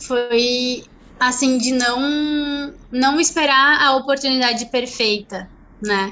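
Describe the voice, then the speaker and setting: A woman with a high voice speaks at a very slow pace. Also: ordinary pitch variation. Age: 20s. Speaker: engineering student and family business member. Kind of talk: interview.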